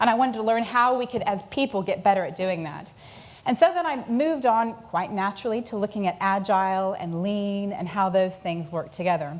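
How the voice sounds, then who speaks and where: Speaking at a fairly quick pace, a woman with a medium pitch and ordinary pitch variation is heard with audible room echo. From United States. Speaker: conference speaker on leadership and agile. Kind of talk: conference talk. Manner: hesitant with many fillers.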